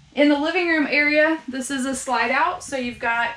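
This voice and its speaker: Ordinary pitch variation marks a woman's speech, heard with audible room echo. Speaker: camper sales guide. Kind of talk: product walk-through tour. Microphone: camera far.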